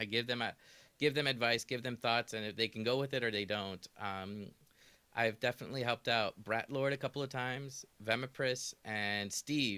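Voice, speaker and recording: On a very clean recording with a silent background, a man talks at a moderate pace and medium pitch in a bright, sharp tone, his intonation fairly even and the sound dry and close with no echo. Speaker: streamer and streaming mentor. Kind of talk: casual chat. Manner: soothing.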